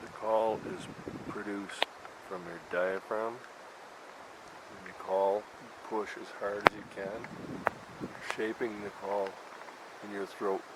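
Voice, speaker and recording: With noticeable background noise, a man of fairly low pitch talks in a monotone, flat intonation at a very slow pace with long, frequent pauses. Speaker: outdoors channel host, moose hunter. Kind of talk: outdoor tutorial. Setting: outdoors in the bush. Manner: casual, halting with fillers.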